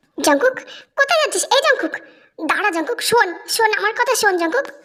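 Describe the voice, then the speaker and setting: A squeaky, put-on character voice from a woman, extremely high in pitch, with very wide pitch swings at a fairly quick pace. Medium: audio drama. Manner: firm, protective.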